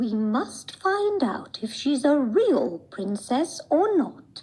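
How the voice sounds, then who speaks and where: A put-on character voice, female-sounding and high-pitched, with very wide pitch swings at a very slow pace. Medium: read story.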